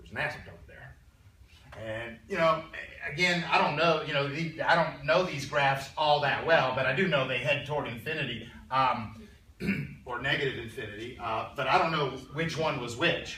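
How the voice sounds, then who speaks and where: Amid noticeable background noise and audible room echo, a man speaks in a fairly high voice with ordinary pitch variation and big swings in loudness. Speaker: math teacher. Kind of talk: lecture. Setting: classroom with students. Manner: fast; casual, conversational.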